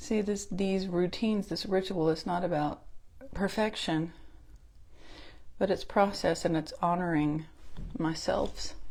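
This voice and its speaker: A woman with an American accent, medium pitch, fairly even intonation, a fairly slow pace and long, frequent pauses. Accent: Southern US accent, noticeable at times. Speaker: makeup consultant and beauty vlogger. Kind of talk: makeup tutorial. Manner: casual, chatty.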